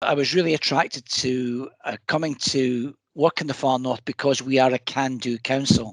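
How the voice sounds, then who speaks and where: The speaker uses a Scottish accent with fairly even intonation and hardly any pauses. The sound is dry and close, with no echo. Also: man, medium pitch for a man, moderate pace. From Scotland. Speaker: council executive. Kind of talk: scripted presentation.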